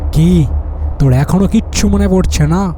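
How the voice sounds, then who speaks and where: Against clear background noise, a man performs a cartoonish character voice. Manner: mocking, menacing.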